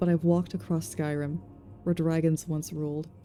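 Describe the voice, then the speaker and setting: Over music in the background, a soft-spoken woman with a very deep, low pitch talks calmly at a fairly slow pace with ordinary pitch variation. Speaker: ASMR reader / streamer. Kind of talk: fantasy lore book reading. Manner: soft, calm.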